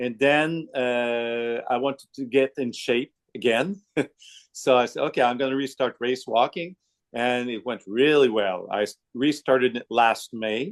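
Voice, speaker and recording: A man with a Quebec accent at a medium pitch and fairly slow pace, ordinary pitch variation, a quiet background and a dry, close sound with no echo. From Quebec, Canada. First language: French. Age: 60s. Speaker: masters racewalker. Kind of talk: casual interview.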